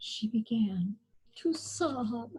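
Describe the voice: Speaking at a very slow pace, a woman has a fairly high pitch, a dark, mellow tone, a husky, rough edge and lively intonation.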